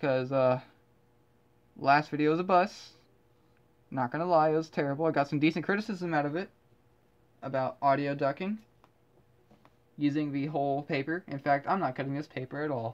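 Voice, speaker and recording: Speaking at a fairly quick pace with long, frequent pauses, this voice has an American accent and sits over a quiet background. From US South. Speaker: artist and video creator. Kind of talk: casual commentary while painting. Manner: rambling, hesitant with fillers.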